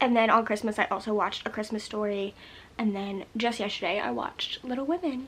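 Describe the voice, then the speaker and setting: Fairly high pitch from a woman, ordinary pitch variation, fairly quick pace. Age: 20s. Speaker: movie vlogger. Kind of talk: casual vlog review. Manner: fast.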